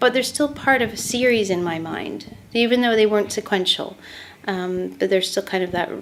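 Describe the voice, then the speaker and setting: Her Canadian accent clear, a woman speaks at a medium pitch with ordinary pitch variation. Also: moderate pace. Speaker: painter. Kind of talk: interview. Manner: halting, repeats words.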